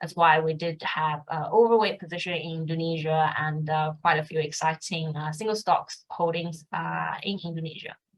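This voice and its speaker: A woman with a Mandarin accent, very deep, low pitch, fairly even intonation, a moderate pace and hardly any pauses. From China. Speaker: fund manager. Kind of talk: interview.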